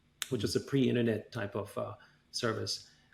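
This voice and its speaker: A man talks at a fairly quick pace with a medium pitch. His intonation is fairly even, with vocal fry. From Austria, Vienna. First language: German. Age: 40s. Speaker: tech company chairman. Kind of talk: interview.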